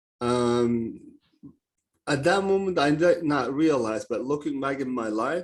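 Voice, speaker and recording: In a Turkish accent, someone speaks at a fairly slow pace with lively intonation against a quiet background. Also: man. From Turkey. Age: 30s. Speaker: mindset coach. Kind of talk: podcast interview. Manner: hesitant, many fillers.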